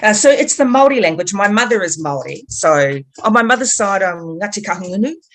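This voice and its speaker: A woman speaks at a fairly quick pace in a New Zealand accent, her pitch medium. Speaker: activist, group co-founder. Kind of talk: interview conversation.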